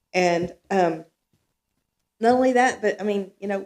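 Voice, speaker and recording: Speaking with a Texan accent, a woman keeps to a medium pitch. Her pace is moderate and her pitch varies in an ordinary way. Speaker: resident speaking at town hall. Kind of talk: public comment at town meeting. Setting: town hall meeting room. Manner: loud.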